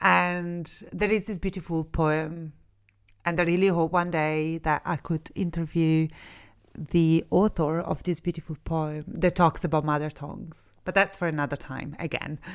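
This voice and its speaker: A woman speaks in an Italian accent. Her intonation stays flat and monotone. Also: fairly low pitch for a woman, moderate pace, very clean recording, silent background. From Italy. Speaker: counsellor and podcast host. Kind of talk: podcast monologue. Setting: studio. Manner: conversational, with many fillers.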